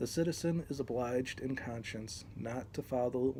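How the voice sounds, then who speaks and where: This man has a medium-pitched, somewhat breathy voice. His tone is dark and mellow, and he speaks at a moderate pace. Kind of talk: reading aloud from a text. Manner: hesitant, many fillers.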